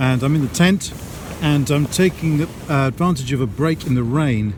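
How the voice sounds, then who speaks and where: Noticeable background noise accompanies a man whose pitch variation is ordinary. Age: 60s. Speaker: hiker vlogger. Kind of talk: vlog commentary. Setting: outdoors; in a tent.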